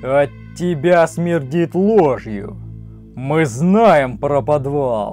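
With clear music in the background, a man in a put-on character voice speaks at a very slow pace in a fairly high pitch, leaving long, frequent pauses. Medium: read story. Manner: shouting, angry.

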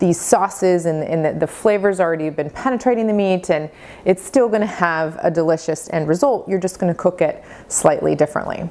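This woman's voice sits fairly low in pitch, with a dark, mellow tone. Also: ordinary pitch variation, fairly quick pace. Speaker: cooking instructor. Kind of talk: tutorial. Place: kitchen.

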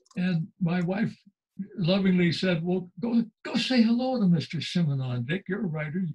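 A man speaks at a moderate pace with lively intonation and a high pitch over a quiet background. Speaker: writer and former journalist; former journalist. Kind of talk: interview. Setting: video call. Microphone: video call.

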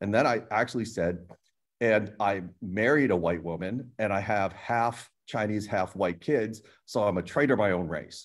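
A man with an American accent speaks at a moderate pace in an unremarkable speaking voice. His fairly low pitch shows ordinary variation against a quiet background. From US (emigrated from Hong Kong at age two). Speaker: painter and art professor; art professor. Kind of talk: group panel discussion. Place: studio. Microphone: video call.

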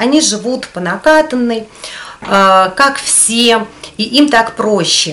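Here a woman speaks at a fairly high pitch. Her intonation is lively. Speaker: video blogger. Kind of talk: casual talk to camera. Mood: calm, reflective. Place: home room.

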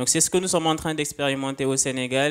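A man talks with fairly even intonation. Light background noise sits behind him. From Senegal. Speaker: start-up founder. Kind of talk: panel discussion. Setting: conference stage with audience. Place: hall. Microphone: handheld.

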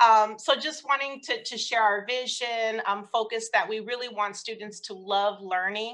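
A woman with an American accent has an ordinary speaking voice, pitched fairly high. Her intonation is fairly even and her pace moderate. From Oakland, California; California. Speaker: family engagement specialist; presenter. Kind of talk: conference presentation. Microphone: video call.

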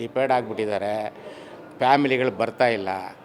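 A man with fairly even intonation, plus noticeable background noise. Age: 60s. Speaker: cinema theatre worker. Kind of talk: street interview.

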